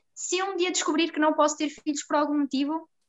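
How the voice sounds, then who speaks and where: This woman's voice sits high and her speech comes very fast. Her intonation stays fairly even. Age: 20s. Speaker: psychologist. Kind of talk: casual chat.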